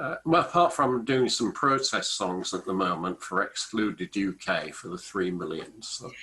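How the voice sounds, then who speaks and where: A man with an English accent at a medium pitch, bright and sharp in tone, moderate in pace, with very wide pitch swings. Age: 60s. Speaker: business author and small business champion. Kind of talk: casual interview.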